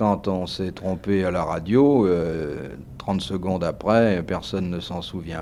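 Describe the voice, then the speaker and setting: A man speaks with a very deep, low pitch. His pace is fairly slow, and his pitch varies in an ordinary way. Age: 40s. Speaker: journalist and radio host. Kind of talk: interview answer.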